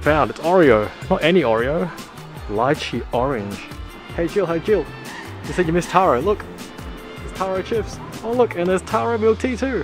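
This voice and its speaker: The speech comes with long, frequent pauses and a dry sound with no echo. Clear music plays in the background. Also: man, moderate pace. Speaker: family vlogger. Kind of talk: casual vlog chat. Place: shop. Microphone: phone near.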